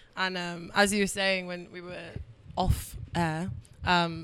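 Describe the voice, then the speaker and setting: Speaking at a fairly slow pace, a woman with a London accent uses a medium pitch. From London, England. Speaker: radio host. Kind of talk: casual chat. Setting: radio show.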